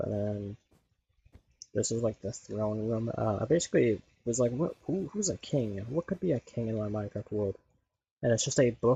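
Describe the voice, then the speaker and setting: At a moderate pace, a man with a medium pitch talks with lively intonation and a somewhat breathy voice, leaving long, frequent pauses. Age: 20s. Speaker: gaming streamer. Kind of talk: casual chat. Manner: casual, filler-heavy.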